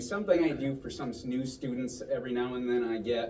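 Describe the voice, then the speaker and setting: A man at a moderate pace with ordinary pitch variation, audible room echo and noticeable background noise. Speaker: magician performing at a club show. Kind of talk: stage magic performance with audience patter. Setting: stage with live audience. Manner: loud; casual and chatty.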